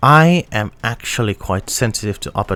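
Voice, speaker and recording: This man speaks with a non-native accent. His pitch variation is ordinary. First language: not English. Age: young. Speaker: audio gear reviewer. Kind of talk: product review. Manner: halting, with many fillers and restarts.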